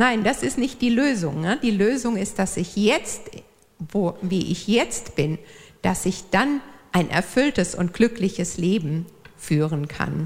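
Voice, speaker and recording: A woman speaks very slowly at a medium pitch in a somewhat breathy voice. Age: 50s. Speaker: church volunteer, speaker. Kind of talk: church talk. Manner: hesitant, many fillers.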